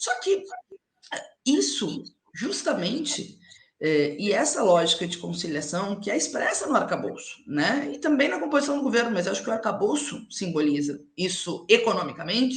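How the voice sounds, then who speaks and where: A medium-pitched woman at a moderate pace, with very wide pitch swings. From Rio Grande do Sul, Alegrete (southern Brazil). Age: young. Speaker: politician. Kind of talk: live interview.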